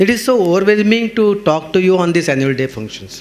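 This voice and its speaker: The delivery moves at a fairly quick pace with lively intonation. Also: man. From India. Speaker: psychotherapist and counselor; speaker. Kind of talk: speech. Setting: stage with audience. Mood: warm, earnest. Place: hall. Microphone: podium.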